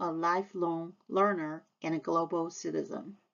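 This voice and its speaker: A woman speaks in a Taiwanese accent. Her pace is fairly slow. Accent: Taiwanese Mandarin-accented English. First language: Mandarin Chinese. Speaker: high school Chinese teacher. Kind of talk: scripted presentation to parents. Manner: formal.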